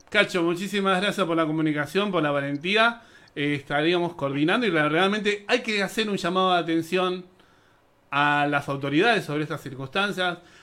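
A man's high-pitched voice with a bright, sharp tone, ordinary pitch variation and a moderate pace, on a very clean recording with a silent background. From Buenos Aires, Argentina. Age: young. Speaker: radio host. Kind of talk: radio talk show.

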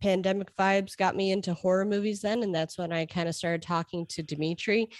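A woman with an American accent has a normal speaking voice at a medium pitch. Her pitch varies in an ordinary way, and the sound is dry and close with no echo. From Chicago. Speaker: author and editor. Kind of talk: casual interview. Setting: remote call.

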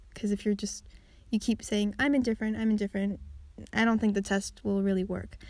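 A woman speaks at a fairly quick pace with medium pitch and a somewhat breathy voice. Her intonation is monotone and flat, on a very clean recording with a silent background. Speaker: solo podcaster. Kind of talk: casual podcast monologue. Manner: chatty, frequent laughs and fillers.

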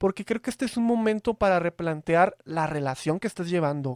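A man's pitch swings very widely as he speaks at a moderate pace. The recording is dry and close, without echo. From Veracruz, Mexico. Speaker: podcast host. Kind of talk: casual chat. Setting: video call.

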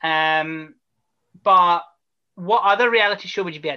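The speaker has a Scottish accent. The background is quiet. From Scotland. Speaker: podcast host. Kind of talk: casual interview.

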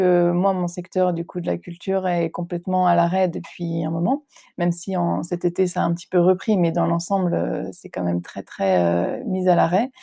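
A woman talks at a moderate pace. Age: 20s. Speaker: actress and theatre director. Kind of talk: interview. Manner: hesitant, many fillers.

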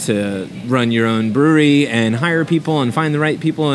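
A man with an American accent talks with ordinary pitch variation while noticeable background noise runs behind him. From New Jersey. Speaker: brewery owner. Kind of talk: casual interview.

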